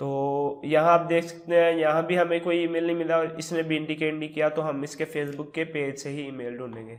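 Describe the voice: At a moderate pace, a man speaks fairly high in pitch with little pitch movement.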